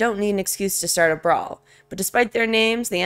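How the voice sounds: The pitch varies in an ordinary way. It belongs to a natural reading voice.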